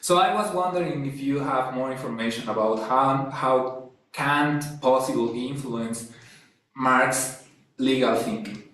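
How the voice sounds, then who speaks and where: A man with a Spanish accent speaks at a fairly slow pace and a medium pitch. His pitch variation is ordinary, and room echo is audible. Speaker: academic philosopher. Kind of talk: academic discussion. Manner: halting.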